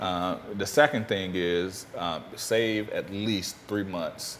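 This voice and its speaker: Noticeable background noise sits behind this recording. A man with an American accent speaks at a fairly low pitch. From US South (Mississippi, Memphis). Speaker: financial advisor and author. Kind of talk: interview.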